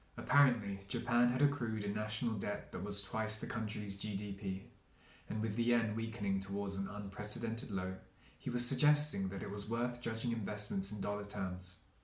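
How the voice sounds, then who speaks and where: A man with a southern English accent talks at a fairly quick pace in a fairly low pitch, his intonation fairly even. Room echo is audible, and background noise is noticeable. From England, London. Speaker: literary translator. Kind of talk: reading aloud.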